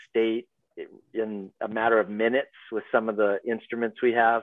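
A man with a Canadian accent speaks at a moderate pace in a monotone, flat intonation. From Vancouver, Canada. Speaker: adventure guide and business owner. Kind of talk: casual interview. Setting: video call.

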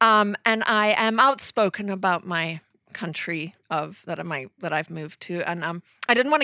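In a very clean, dry, close recording with a silent background and no echo, a woman speaks at a moderate pace in a fairly low voice with a bright, sharp, animated tone and ordinary pitch variation. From Rhodesia/Zimbabwe and southern Africa. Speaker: memoir author. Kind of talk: author talk with humor, then Q and A. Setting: bookstore stage with audience. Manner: animated, self-deprecating, humorous.

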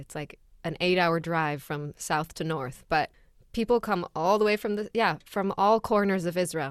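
A woman talks at a moderate pace in a plain, everyday voice, her intonation lively. The recording is very clean with a silent background, and the sound is dry and close with no echo. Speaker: podcast co-host. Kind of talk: casual chat.

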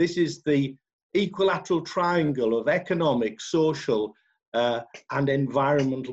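A man's plain, everyday voice, fairly high in pitch, with ordinary pitch variation. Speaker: LEP chair. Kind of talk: moderated panel discussion. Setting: video call.

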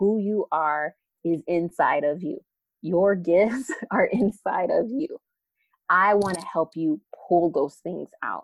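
A woman with an American accent has an unremarkable speaking voice, a fairly low pitch and ordinary pitch variation. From Arizona, South Phoenix. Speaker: educator and leadership coach. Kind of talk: casual interview chat.

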